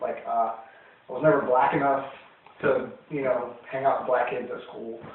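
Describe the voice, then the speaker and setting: There is noticeable background noise and audible room echo as a man speaks at a moderate pace. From US, military family, moved around. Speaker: interviewee. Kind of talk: interview. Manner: halting, many fillers.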